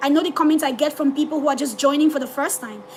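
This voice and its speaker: A woman talks loudly at a very fast pace in an animated tone. Her pitch is high, and noticeable background noise runs behind her. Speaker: forex trader streaming live. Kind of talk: live trading stream, reading chat. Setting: livestream.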